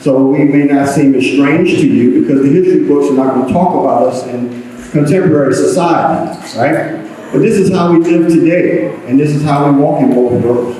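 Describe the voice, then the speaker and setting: A man with a Southern US accent speaks at a moderate pace in a fairly high pitch, with ordinary pitch variation, very even loudness, audible room echo and noticeable background noise. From Eastern North Carolina, US South. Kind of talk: public talk to an audience. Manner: hesitant, many fillers.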